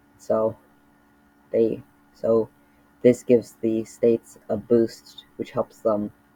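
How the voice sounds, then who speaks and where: A man's voice comes through with a dry, close sound and no echo. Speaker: mapping video creator. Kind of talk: casual commentary narration. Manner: halting, many fillers.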